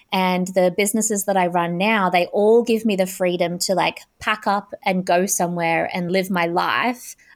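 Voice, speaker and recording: In a very clean recording with a silent background, a woman at medium pitch speaks in a monotone, flat intonation with very even loudness. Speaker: spiritual entrepreneur and business coach. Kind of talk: interview conversation. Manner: gentle; slow.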